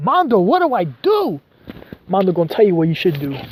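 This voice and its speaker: At a very fast pace, a man speaks in an animated tone. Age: 20s. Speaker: vlogger. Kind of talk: casual vlog monologue.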